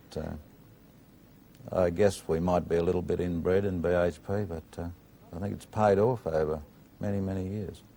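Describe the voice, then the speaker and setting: With an Australian accent, a man speaks at a very deep, low pitch in a dark, mellow tone. His intonation is fairly even at a moderate pace, broken by long, frequent pauses. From Australia, Maitland, New South Wales. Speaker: steelworks general manager. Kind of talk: TV interview.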